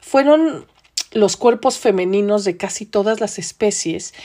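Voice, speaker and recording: A woman with a dark, mellow tone speaks at a very slow pace with ordinary pitch variation. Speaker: podcast host. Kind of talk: podcast monologue.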